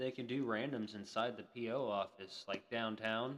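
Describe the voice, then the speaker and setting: With fairly even intonation, a man talks in an American accent. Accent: Florida Southern accent, people remark on it. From Florida. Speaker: streamer. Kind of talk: casual chat.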